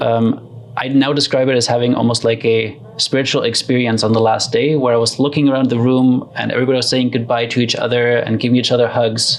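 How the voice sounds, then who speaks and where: Over noticeable background noise, a man with a slight German accent speaks very fast at medium pitch, with monotone, flat intonation and very even loudness. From Germany. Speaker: community builder and facilitator. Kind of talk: interview. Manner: hesitant, many fillers.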